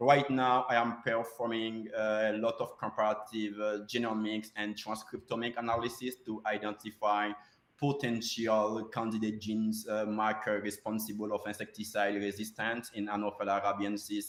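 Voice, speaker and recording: A man's fairly low, monotone voice at a moderate pace with hardly any pauses, over noticeable background noise. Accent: non-native. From Haiti. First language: Haitian Creole or French. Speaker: postdoctoral researcher. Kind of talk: conference talk. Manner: halting, many fillers.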